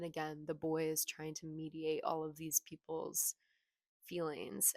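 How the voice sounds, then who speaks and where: The voice is soft-spoken. The sound is dry and close, with no echo. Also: woman. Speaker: booktuber. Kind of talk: casual vlog chat. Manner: casual, filler-heavy. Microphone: cheap clip mic that pops when she moves.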